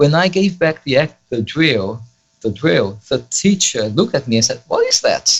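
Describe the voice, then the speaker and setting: A man with a Brazilian Portuguese accent speaks at a moderate pace in a fairly high pitch, his voice showing vocal fry and very wide pitch swings. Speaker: Latin student and polyglot. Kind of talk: interview. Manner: hesitant, many fillers.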